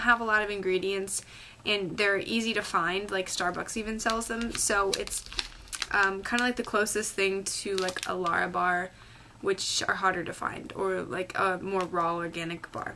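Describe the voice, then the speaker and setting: A woman's voice with fairly even intonation, set against noticeable background noise. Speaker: health vlogger. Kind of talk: casual vlog. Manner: chatty, filler-heavy.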